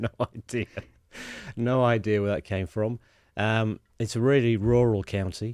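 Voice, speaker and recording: On a very clean recording with a silent background and a dry, close sound with no echo, a man with a British accent speaks at a moderate pace. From England, Lincolnshire (East Midlands). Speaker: sustainability specialist. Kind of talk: casual chat. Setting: studio. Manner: hesitant, many fillers.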